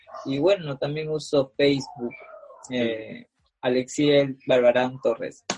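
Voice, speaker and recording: This man talks very slowly, his fairly high pitch moving with ordinary pitch variation. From Peru. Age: 20s. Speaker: amateur adult film performer. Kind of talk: casual interview. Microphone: laggy internet connection.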